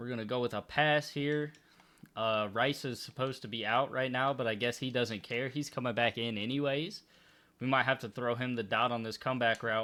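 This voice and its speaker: A man's bright, sharp voice at medium pitch, fairly quick and fairly even in intonation, on a very clean recording with a silent background. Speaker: gaming YouTuber. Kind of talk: gameplay commentary. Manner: self-reported stuttering.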